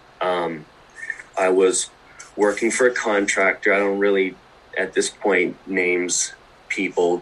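Over noticeable background noise, a man speaks at a fairly low pitch in a flat monotone, leaving long, frequent pauses. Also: fairly slow pace. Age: 20s. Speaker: electrician apprentice/journeyman. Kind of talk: casual chat.

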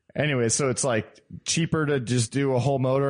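Speaking at a fairly quick pace, a man with an unremarkable speaking voice keeps to medium pitch and ordinary pitch variation. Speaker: car podcast co-host. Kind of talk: casual chat.

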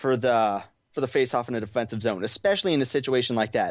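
Over a quiet background, a man with a plain, everyday voice speaks at a medium pitch with lively intonation. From Arizona. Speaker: hockey fan. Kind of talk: casual chat.

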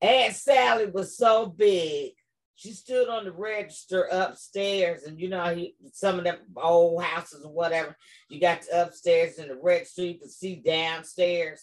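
An ordinary speaking voice from a woman, fairly low in pitch with ordinary pitch variation, fairly slow, with big swings in loudness. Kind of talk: casual chat. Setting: video call.

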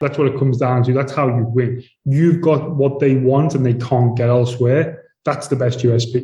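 At a moderate pace, a man speaks in a somewhat breathy voice with a dark, mellow tone and fairly high pitch. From UK. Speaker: real estate executive. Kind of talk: interview. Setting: remote call.

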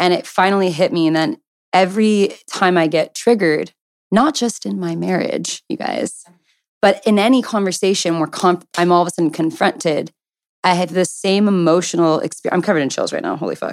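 The delivery moves at a fairly quick pace in an ordinary speaking voice. Pitch varies in an ordinary way. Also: woman, medium pitch for a woman. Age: 20s. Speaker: podcast co-host. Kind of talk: personal story.

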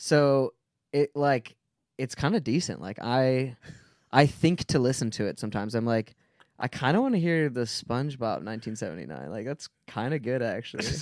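A man uses a normal speaking voice at a medium pitch and moderate pace, with lively intonation. The recording is very clean with a silent background, and the sound is dry and close with no echo. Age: 30s. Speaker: musician, singer. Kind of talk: casual interview chat. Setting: studio.

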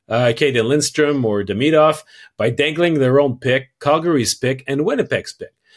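A man with a French accent speaks at a moderate pace in a fairly high voice with ordinary pitch variation. The recording is very clean, with a silent background. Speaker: hockey podcast host. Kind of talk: casual chat.

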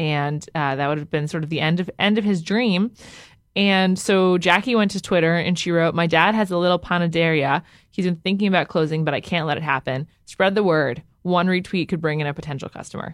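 This is a plain, everyday voice: a woman with an American accent, fairly low in pitch, talking at a fairly quick pace with ordinary pitch variation. The recording is very clean, with a silent background. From Upper West Side, New York City. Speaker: food news co-host. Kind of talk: casual chat.

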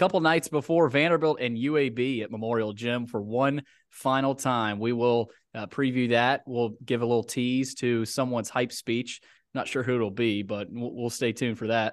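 A man's medium-pitched voice at a moderate pace against a quiet background. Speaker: podcast host. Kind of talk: radio-style show intro, upbeat sports podcast. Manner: energetic, promotional ad read.

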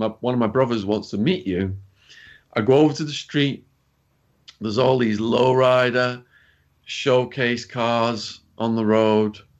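Against a quiet background, a man with an English accent and a medium pitch speaks at a fairly slow pace with fairly even intonation. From England. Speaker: author and activist, former drug dealer. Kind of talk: interview storytelling. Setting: remote call.

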